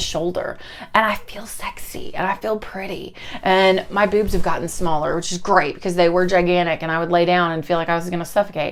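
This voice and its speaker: A woman talks at a very fast pace in a medium pitch. Noticeable background noise is present. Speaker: vlogger, school librarian. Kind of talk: casual vlog update. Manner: animated.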